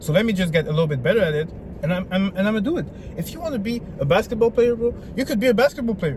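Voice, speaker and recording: A man with a high-pitched voice talks at a very fast pace, his tone animated and his intonation lively. Noticeable background noise runs underneath. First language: French. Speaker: self-improvement vlogger. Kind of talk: motivational vlog.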